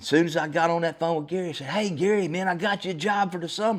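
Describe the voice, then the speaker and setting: Speaking at a very fast pace with an American accent, the voice shows ordinary pitch variation. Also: man. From Texas. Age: 60s. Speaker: podcast host. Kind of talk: solo podcast monologue, storytelling. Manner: casual, folksy.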